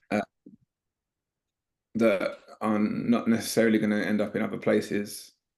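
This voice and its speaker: A man speaks with a London accent at a moderate pace. His delivery breaks often into long pauses. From East London. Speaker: spoken-word poet. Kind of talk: interview answer.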